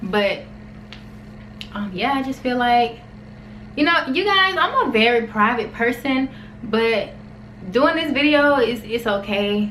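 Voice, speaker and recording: A woman's high, lively voice at a fairly slow pace with long, frequent pauses, amid audible room echo and noticeable background noise. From US South, Alabama. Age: 20s. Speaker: vlogger. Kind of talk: personal vlog, casual talk to camera.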